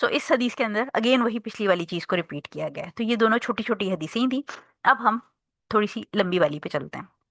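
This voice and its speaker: Soft-spoken and with vocal fry, a woman talks at a moderate pace with a fairly high pitch and lively intonation. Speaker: Islamic teacher. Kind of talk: lecture.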